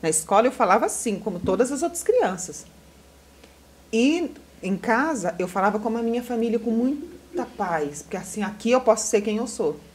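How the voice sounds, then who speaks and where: A woman with a northeastern Brazilian accent and a fairly high pitch, over noticeable background noise. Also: lively intonation, moderate pace. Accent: northeastern Maranhão, Brazilian Portuguese. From Maranhão, Brazil. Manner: proud, peaceful.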